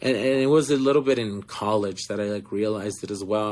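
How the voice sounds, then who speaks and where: Moderate pace in a Spanish accent, with ordinary pitch variation. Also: man. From Florida. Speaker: actor. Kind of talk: interview. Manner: animated storytelling.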